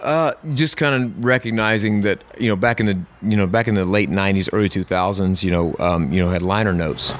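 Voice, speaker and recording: A man with a Southern US accent talks at a fairly quick pace and fairly low pitch. Noticeable background noise runs under his voice. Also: ordinary pitch variation, very even loudness. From US South, South Carolina (Camden). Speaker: songwriter and musician. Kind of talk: casual interview. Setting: in person at a hotel. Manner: hesitant, many fillers.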